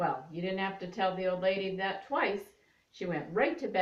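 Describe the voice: The speaker does plain reading aloud.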